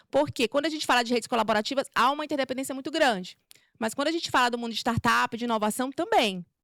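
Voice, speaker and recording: Speaking at a very fast pace, a woman uses a high pitch with ordinary variation, recorded with a dry, close sound and no echo. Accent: Maranhão. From Brazil, Maranhão. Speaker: corporate culture manager giving a talk. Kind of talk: talk at a meetup. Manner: informal, many fillers.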